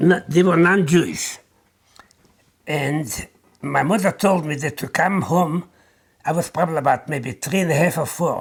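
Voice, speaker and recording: Long, frequent pauses break up speech that carries vocal fry and ordinary pitch variation. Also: man, fairly high pitch for a man, moderate pace. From Poland. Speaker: Holocaust survivor. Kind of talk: oral history testimony.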